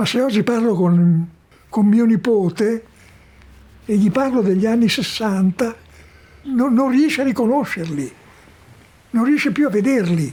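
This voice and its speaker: A man speaks with a high pitch and lively intonation at a fairly slow pace. His long pauses come often. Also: very even loudness. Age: 80s+. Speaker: philosopher. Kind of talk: documentary interview answer. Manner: reflective, slow.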